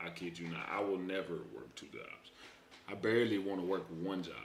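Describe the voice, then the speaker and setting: In an American accent, a man talks at a fairly quick pace, with noticeable background noise and audible room echo. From Texas. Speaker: streamer. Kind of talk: live reaction stream. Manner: animated.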